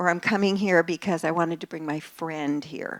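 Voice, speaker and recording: A normal speaking voice from a woman, fairly low in pitch with ordinary pitch variation, at a moderate pace, in a very clean recording with a silent background and a dry, close sound with no echo. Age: 60s. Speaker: psychotherapist and relationship author. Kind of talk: talk to a live audience.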